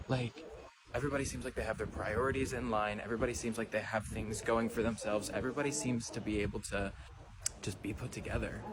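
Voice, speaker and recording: A man's fairly low voice shows ordinary pitch variation, with noticeable noise in the background. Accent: American. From USA. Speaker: travel vlogger. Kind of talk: casual vlog monologue.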